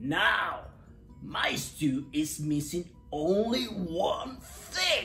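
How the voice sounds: A put-on character voice, very slow and bright and sharp in tone, with lively intonation and faint music in the background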